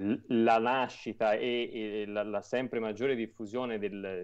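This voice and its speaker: The background is quiet as a man speaks. His intonation is monotone and flat. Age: 30s. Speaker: publisher and platform founder. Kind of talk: interview. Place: home room. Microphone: earbuds.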